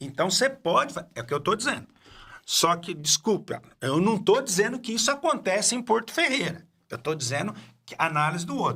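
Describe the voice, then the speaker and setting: A man speaks in a raised, projected voice with a high pitch and a bright, sharp tone. His pitch swings very widely at a fairly quick pace. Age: 60s. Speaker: podcast host. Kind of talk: casual interview chat. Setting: studio. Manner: halting.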